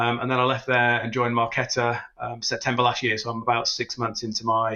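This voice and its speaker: A man with a British accent, medium pitch and a fairly quick pace. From UK. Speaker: fintech executive. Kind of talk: podcast interview.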